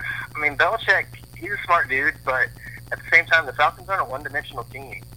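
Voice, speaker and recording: Noticeable background noise accompanies very fast speech with big swings in loudness. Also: man. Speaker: sports betting guest. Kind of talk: casual sports betting chat.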